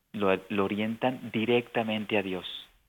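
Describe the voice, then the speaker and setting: Using an ordinary speaking voice, a man talks at a fairly slow pace with fairly low pitch. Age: 50s. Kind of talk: radio interview.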